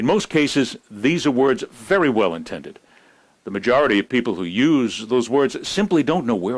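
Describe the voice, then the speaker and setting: Very clean and silent in the background, this recording captures a man at a medium pitch with vocal fry. He keeps a moderate pace while his pitch swings very widely. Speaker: news and sports commentator. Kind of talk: news commentary monologue. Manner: serious, reflective.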